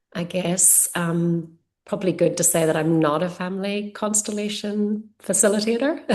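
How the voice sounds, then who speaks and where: A woman with an Irish accent and ordinary pitch variation. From Ireland. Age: 40s. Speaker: yoga teacher and energy healer. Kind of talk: casual interview chat.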